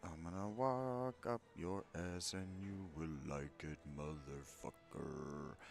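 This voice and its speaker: In a put-on character voice, a man speaks at a very slow pace with a very deep, low pitch over clear background noise. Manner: menacing, crude.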